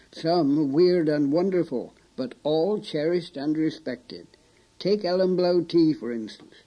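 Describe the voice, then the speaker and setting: A man talks at a fairly slow pace with ordinary pitch variation. He has a plain, everyday voice. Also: fairly high pitch for a man. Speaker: documentary presenter. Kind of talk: documentary narration.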